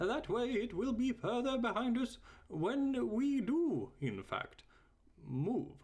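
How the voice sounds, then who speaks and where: Put-on male character voice pitched extremely high, at a fairly slow pace. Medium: read story. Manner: hesitant, full of ums and uhs.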